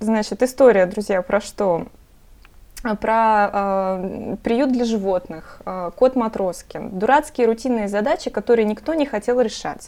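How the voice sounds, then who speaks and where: With a dark, mellow tone and fairly high pitch, a woman speaks at a very slow pace with ordinary pitch variation. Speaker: podcast host. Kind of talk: interview.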